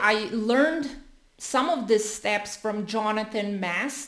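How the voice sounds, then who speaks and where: Audible room echo surrounds a woman's voice. She speaks at a fairly high pitch with ordinary pitch variation. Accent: non-native. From Europe. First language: not English, a European language. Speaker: content creator. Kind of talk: tutorial. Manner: casual, with fillers.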